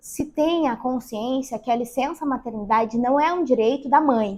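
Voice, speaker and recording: A woman speaks with high pitch and lively intonation. Her pace is moderate. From Rio Grande do Sul, southern Brazil. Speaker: lawyer. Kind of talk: podcast interview.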